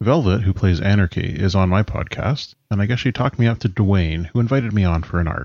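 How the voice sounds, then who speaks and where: Using an ordinary speaking voice, a man with a Canadian accent talks at a fairly quick pace and fairly low pitch, with hardly any pauses. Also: ordinary pitch variation. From British Columbia, Canada. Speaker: tabletop role-playing podcaster. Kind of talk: prepared interview answers.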